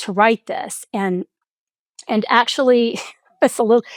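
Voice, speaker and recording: In a very clean recording with a silent background and a dry, close sound with no echo, a woman with an ordinary speaking voice talks at a fairly high pitch with ordinary pitch variation. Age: 60s. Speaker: executive coach and author. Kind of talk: interview conversation.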